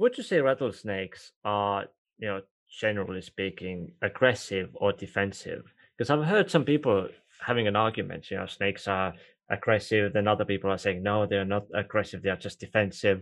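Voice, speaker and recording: In an Estonian accent, a man with a fairly low pitch speaks at a fairly quick pace with ordinary pitch variation over a quiet background. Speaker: podcast host. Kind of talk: casual interview.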